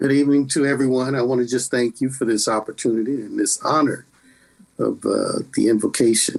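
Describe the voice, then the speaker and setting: Fairly even intonation at a moderate pace in a plain, everyday voice. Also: man. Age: 60s. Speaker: pastor.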